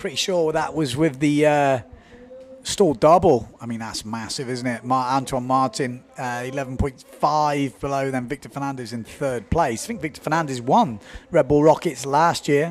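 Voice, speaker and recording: Music in the background behind a male speaker, ordinary pitch variation, a moderate pace. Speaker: windsurf event commentator. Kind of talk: live commentary. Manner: animated.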